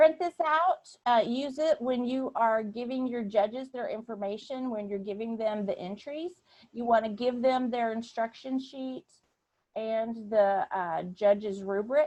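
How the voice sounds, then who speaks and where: A woman with a plain, everyday voice and an American accent speaks at a fairly slow pace with ordinary pitch variation. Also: fairly high pitch for a woman. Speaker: volunteer program trainer. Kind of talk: online training session. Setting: video call.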